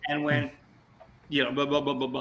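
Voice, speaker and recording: The man's delivery is animated. Background noise is noticeable throughout. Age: 70s. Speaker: musician. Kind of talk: casual chat.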